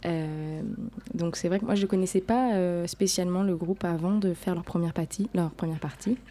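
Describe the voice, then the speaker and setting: At a moderate pace with ordinary pitch variation, the speech comes through noticeable background noise. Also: woman, medium pitch for a woman. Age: young. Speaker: jazz singer. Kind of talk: interview.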